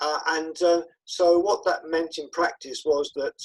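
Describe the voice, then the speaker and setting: A man with a southern English accent at a fairly slow pace. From southeast England. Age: 60s. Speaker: peer support worker and author. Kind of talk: interview. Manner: hesitant, many fillers.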